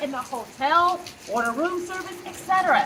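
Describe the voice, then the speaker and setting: A woman projects her voice at an extremely high pitch and a moderate pace. Noticeable background noise can be heard. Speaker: psychologist. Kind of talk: motivational talk. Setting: outdoors. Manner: loud.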